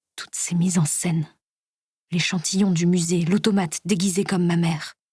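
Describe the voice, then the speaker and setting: Over a silent background in a very clean recording, a woman with a fairly low pitch speaks at a moderate pace in a somewhat breathy voice. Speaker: voice actor. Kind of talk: audiobook reading.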